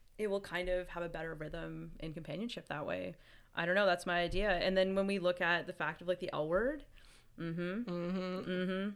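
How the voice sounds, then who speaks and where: In a very clean recording with a silent background, a woman with a normal speaking voice and a fairly low pitch speaks at a fairly quick pace with fairly even intonation. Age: 30s. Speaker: podcast co-host. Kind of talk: casual chat.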